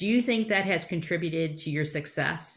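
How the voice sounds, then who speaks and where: This woman has a normal speaking voice, fairly low in pitch, with lively intonation at a fairly quick pace. The recording is very clean, with a silent background. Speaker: podcast host. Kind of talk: interview.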